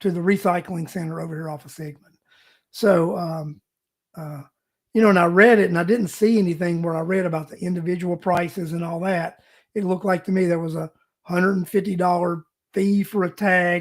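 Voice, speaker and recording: A man's high voice, flat and monotone, with big jumps in loudness and a fairly quick pace. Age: 60s. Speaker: local talk show host. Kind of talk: casual talk show monologue. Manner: halting, many fillers.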